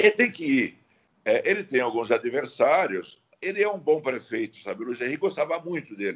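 A man speaks with fairly high pitch and vocal fry. His pitch swings very widely. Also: moderate pace. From Santa Catarina, Brazil (Laguna). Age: 70s. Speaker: politician, former state governor. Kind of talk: radio interview. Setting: remote call from his office.

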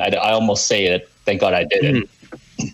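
A man speaks at a moderate pace, and noticeable background noise runs underneath. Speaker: podcast guest, cell phone store worker. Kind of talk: casual chat.

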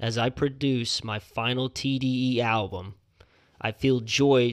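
A man's ordinary speaking voice, medium in pitch with fairly even intonation, in a very clean recording with a silent background. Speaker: podcast host. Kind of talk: casual banter, music review podcast. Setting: studio.

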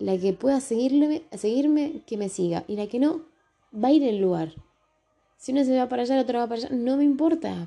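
A woman's high-pitched voice with a dark, mellow tone, lively intonation and a fairly quick pace. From Argentina, Tucumán. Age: 30s. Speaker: podcaster. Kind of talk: personal monologue podcast. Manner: casual, with hesitations and repetitions.

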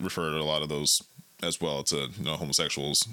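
The voice has vocal fry. Its tone is bright and sharp. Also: man. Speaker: co-host / guest in conversation. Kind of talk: casual conversation.

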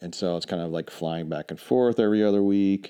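A man's very deep, low voice with a dark, mellow tone, an American accent and a fairly quick pace against a quiet background. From Charlotte, North Carolina, US South. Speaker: remote worker, strategy consultant. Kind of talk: casual chat.

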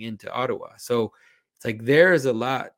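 A man with a Quebec accent speaks at a medium pitch and moderate pace in a very clean recording with a silent background. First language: French. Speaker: icon carver and public speaker. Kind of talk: interview conversation.

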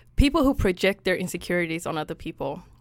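A woman speaks at medium pitch. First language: Swedish. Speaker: podcast co-host. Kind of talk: casual chat.

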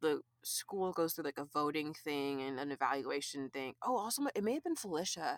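Using a plain, everyday voice, a woman with an American accent talks at a moderate pace with lively intonation. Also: dry, close sound with no echo. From California. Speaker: visual artist. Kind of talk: casual chat.

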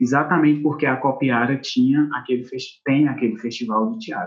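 Speaking at a moderate pace, a man with a plain, everyday voice shows ordinary pitch variation. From Brazil, Ceará interior (Acopiara). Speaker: actor and theatre teacher. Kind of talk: interview conversation.

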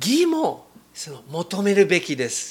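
This man's pitch moves in very wide swings. He speaks at a very slow pace. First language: English (speaking Japanese). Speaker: missionary preacher. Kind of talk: sermon. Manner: halting, many fillers.

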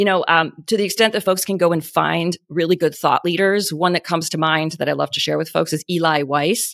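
On a very clean recording with a silent background, a woman speaks at a fairly quick pace. Her pitch is fairly low, with vocal fry. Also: fairly even intonation. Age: 40s. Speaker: beauty brand founder and CEO. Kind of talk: podcast interview. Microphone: good podcasting microphone.

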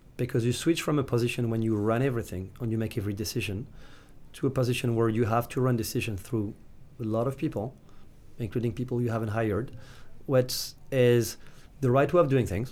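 A man with a French accent, fairly quick pace, medium pitch and ordinary pitch variation. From France, Nantes. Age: 30s. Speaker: startup founder and investor. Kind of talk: interview. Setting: studio. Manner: halting, with frequent repetitions.

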